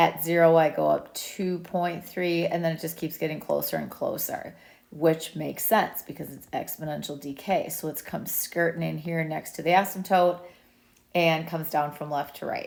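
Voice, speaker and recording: This woman has a fairly low voice with monotone, flat intonation. She talks at a moderate pace with big swings in loudness. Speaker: math teacher. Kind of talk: tutorial. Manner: casual.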